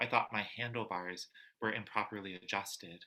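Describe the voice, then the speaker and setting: This soft-spoken man has a fairly low pitch and a bright, sharp tone. He keeps his intonation fairly even. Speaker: poet. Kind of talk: poetry reading. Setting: video call.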